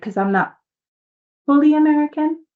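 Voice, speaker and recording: Animated in tone, a woman speaks in a Spanish accent with very wide pitch swings. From New York City and Dominican Republic. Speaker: mindset coach, nonprofit founder. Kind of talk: podcast interview, personal story.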